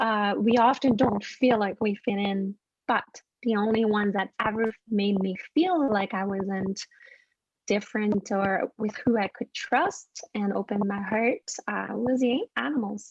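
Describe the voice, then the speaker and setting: A woman speaks with a French Canadian accent at a fairly high pitch. Her pace is fairly slow and her intonation fairly even. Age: 40s. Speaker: animal communicator. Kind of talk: interview storytelling.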